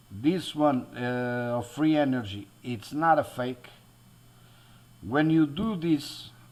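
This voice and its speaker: Speaking very slowly, a man uses a fairly high pitch and a Portuguese accent. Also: ordinary pitch variation. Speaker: DIY electronics YouTuber. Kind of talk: tutorial. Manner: halting, many fillers and restarts.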